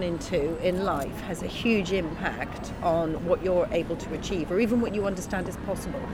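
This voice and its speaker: Over noticeable background noise, a woman speaks at a moderate pace with hardly any pauses and ordinary pitch variation. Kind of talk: casual chat.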